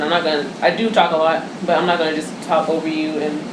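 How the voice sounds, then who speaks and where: Over noticeable background noise and audible room echo, a woman rushes along at a very fast pace in a fairly low pitch. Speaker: radio co-host. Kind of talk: radio talk show.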